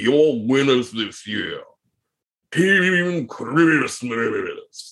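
This put-on character voice has lively intonation and moves at a very slow pace. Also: man. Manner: solemn, intoning, announcing.

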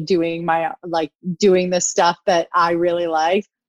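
A woman with a plain, everyday voice speaks at a moderate pace with an American accent, her pitch fairly low. The sound is dry and close, with no echo. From US Midwest. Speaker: wedding photographer. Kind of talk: casual chat. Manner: humorous, playful.

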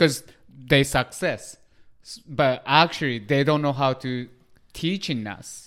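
A man with a Japanese accent speaks at a very slow pace with long, frequent pauses, his fairly high pitch showing ordinary variation, in a very clean recording with a silent background. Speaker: podcast co-host. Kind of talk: casual chat.

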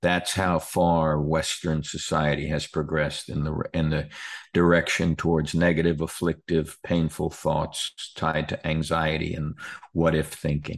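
A man with an American accent speaks in a very deep, low pitch with monotone, flat intonation. His pace is fairly slow against a quiet background. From New York. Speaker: pastor and author. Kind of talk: interview.

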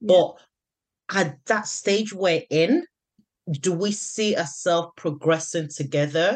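A woman's fairly low voice, very slow and broken by long, frequent pauses, with ordinary pitch variation. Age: 30s. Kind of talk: casual chat.

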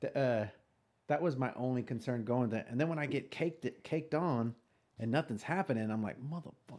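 A man with a Texas accent at a fairly quick pace, with ordinary pitch variation. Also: medium pitch for a man. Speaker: police officer podcast host. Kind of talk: casual chat.

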